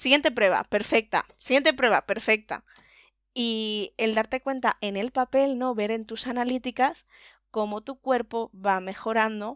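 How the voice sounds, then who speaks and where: A woman with a fairly high pitch and a normal speaking voice talks at a fairly slow pace, her intonation fairly even. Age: 20s. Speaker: patient, office administrator. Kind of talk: interview testimony.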